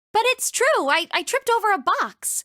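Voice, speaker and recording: A squeaky, put-on character voice from a woman, extremely high in pitch with very wide pitch swings, at a moderate pace, in a dry, close sound with no echo. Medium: fan dub. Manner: soft, apologetic.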